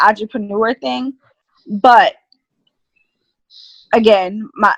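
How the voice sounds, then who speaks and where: A woman at a fairly slow pace with ordinary pitch variation, in a dry, close sound with no echo. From Caribbean. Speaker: business owner. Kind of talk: interview.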